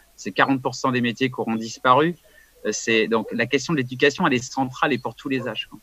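Using an ordinary speaking voice, a man talks at a moderate pace with a medium pitch and fairly even intonation. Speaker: event host. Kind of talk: casual discussion. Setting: video call.

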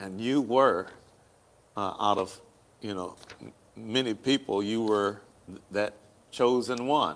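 A man with an American accent and a fairly low pitch, speaking at a very slow pace with long, frequent pauses. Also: fairly even intonation. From Hampton, Virginia; Virginia. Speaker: pastor and talk show host; pastor, talk show host. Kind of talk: casual chat. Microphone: lapel.

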